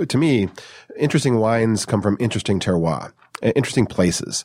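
In a very clean recording with a silent background, a man with an American accent talks at a fairly quick pace in an ordinary speaking voice, fairly low in pitch with ordinary pitch variation. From US Midwest, Detroit suburbs. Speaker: wine company co-founder. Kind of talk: casual interview chat.

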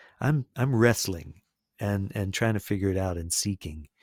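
A man with a fairly low, somewhat breathy voice speaks at a moderate pace, the sound dry and close with no echo. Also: very clean recording, silent background. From US South, Florida. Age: 50s. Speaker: singer-songwriter and peace builder. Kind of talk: interview conversation.

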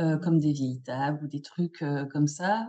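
A woman is the one speaking. Her voice has a dark, mellow tone. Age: 40s. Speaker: photo set designer and retoucher. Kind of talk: interview. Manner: hesitant, many fillers.

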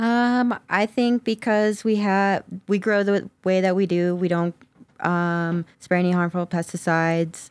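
In a very clean recording with a silent background, a woman with a normal speaking voice talks at a fairly slow pace and medium pitch, with fairly even intonation and very even loudness. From US South (Georgia). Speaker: cannabis grower. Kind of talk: casual interview chat.

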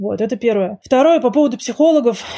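On a very clean recording with a silent background, a woman with a fairly high pitch and a dark, mellow, somewhat breathy tone speaks at a fairly quick pace with lively intonation. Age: 40s. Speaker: author and book publisher. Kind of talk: interview.

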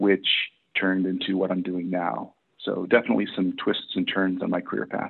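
A man speaks in an ordinary speaking voice with an American accent. His pitch is fairly low and his pace moderate. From Massachusetts, US. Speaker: health system executive. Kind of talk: interview.

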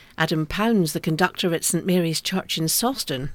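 With lively intonation and a fairly low pitch, a woman has an unremarkable speaking voice in a very clean recording with a silent background. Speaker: concert calendar co-presenter. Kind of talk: radio announcer reading concert listings. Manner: clear, brisk, polished, even-paced broadcast delivery.

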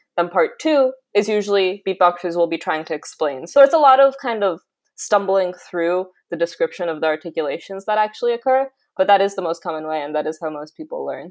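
There is lively intonation from a woman at medium pitch, who has an unremarkable speaking voice in a very clean recording with a silent background. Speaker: researcher and beatboxer. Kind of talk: interview.

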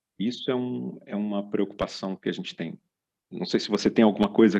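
Here is a man with an unremarkable speaking voice and a fairly low pitch. He talks at a fairly quick pace, with big swings in loudness. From Brazil. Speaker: podcast host and business consultant. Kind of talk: casual chat.

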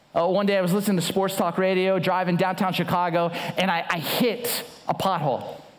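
A man with an American accent speaks fairly quickly at a high pitch. Noticeable background noise and audible room echo fill the recording. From Southern California. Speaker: guest pastor. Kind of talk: sermon.

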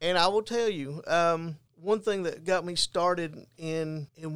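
A man's unremarkable speaking voice, fairly high-pitched, with ordinary pitch variation. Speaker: peer support specialist. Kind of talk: testimony.

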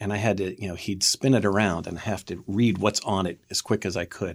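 This man has an ordinary speaking voice and an American accent, pitched fairly low. He talks at a fairly quick pace with fairly even intonation. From Pennsylvania (Camp Hill, near Harrisburg). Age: 50s. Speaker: TV producer and director. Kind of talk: interview. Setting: studio.

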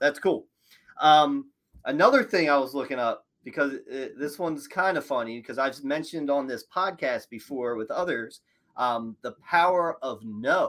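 Someone with an American accent speaks in an energetic tone at a moderate pace. Pitch variation is ordinary. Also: man, fairly high pitch for a man. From Philadelphia, US. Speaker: podcast host, mortgage broker. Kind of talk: interview.

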